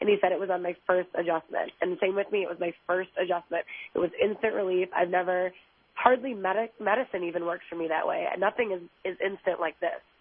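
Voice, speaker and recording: A woman speaks at a fairly quick pace with medium pitch and fairly even intonation. She has an ordinary speaking voice. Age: 20s. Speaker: patient caller. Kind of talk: testimony. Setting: phone call. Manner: casual, rambling.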